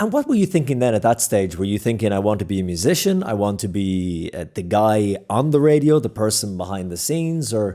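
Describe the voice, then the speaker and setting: Recorded very cleanly against a silent background, a man with an Irish accent and a fairly low, dark, mellow voice talks at a fairly quick pace with lively intonation and hardly any pauses. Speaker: podcast host and broadcast journalist. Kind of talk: interview conversation.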